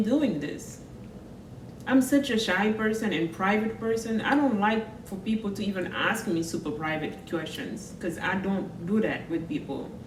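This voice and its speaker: A woman with a Senegalese accent speaks at a moderate pace in a fairly high pitch with lively intonation, with audible room echo and noticeable background noise. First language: French. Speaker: vlogger. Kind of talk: personal vlog monologue.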